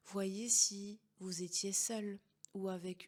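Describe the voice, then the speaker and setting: This woman talks in a monotone with flat intonation. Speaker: hypnotherapist and coach. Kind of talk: guided meditation. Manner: slow, soft-spoken.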